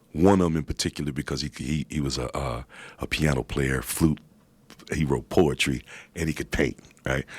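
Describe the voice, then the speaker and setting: A man's very deep, low voice with vocal fry, a fairly quick pace and fairly even intonation, in a dry, close sound with no echo. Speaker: rapper and visual artist. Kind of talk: radio interview answer.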